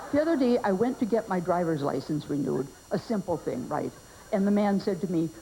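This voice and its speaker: A woman with a Minnesota accent speaks at a moderate pace and a medium pitch. Her pitch swings very widely, and there is noticeable background noise. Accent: Upper Midwest (Minnesota) American. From Minnesota, US. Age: 60s. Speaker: comedian. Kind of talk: stand-up.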